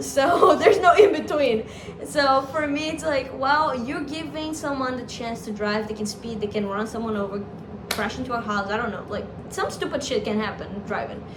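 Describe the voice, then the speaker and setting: A woman speaks at a moderate pace in a high voice, her intonation lively and her loudness swinging widely, with noticeable background noise and audible room echo. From Brazil. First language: Portuguese. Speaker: YouTuber and international student. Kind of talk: casual chat.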